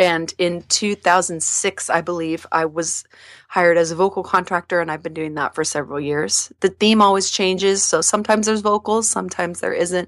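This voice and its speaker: An ordinary speaking voice at a fairly quick pace, with fairly even intonation, a dry, close sound with no echo and a very clean recording over a silent background. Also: woman, fairly low pitch for a woman. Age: 30s. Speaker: singer and voice actor. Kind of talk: interview.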